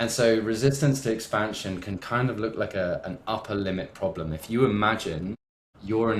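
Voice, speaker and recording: A man talks in a fairly low pitch with ordinary variation in his intonation. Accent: West Country. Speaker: entrepreneur and business coach. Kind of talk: podcast interview.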